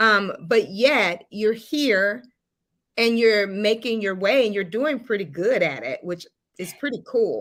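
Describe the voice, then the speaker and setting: With a Southern US accent, a woman speaks fairly slowly at a fairly high pitch with ordinary pitch variation. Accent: Southern drawl. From US South. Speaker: live show host. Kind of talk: live interview. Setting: livestream.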